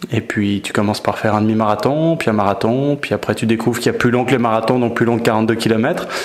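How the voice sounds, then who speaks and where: A man talks at a very fast pace with hardly any pauses and fairly even intonation. His pitch is medium, and there is noticeable background noise. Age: 40s. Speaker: ultra-trail runner. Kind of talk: interview. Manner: hesitant with filler words.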